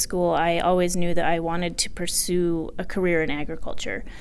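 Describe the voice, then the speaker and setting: Audible room echo surrounds a woman speaking in an American accent. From southwest Colorado. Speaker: agricultural trade association executive. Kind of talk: interview. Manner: halting, many fillers.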